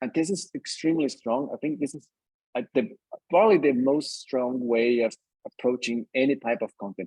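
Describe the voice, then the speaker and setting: The dry, close recording has no echo and carries a Brazilian accent at a moderate pace with ordinary pitch variation. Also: man. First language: Brazilian Portuguese. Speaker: community lead and author. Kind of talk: online workshop conversation.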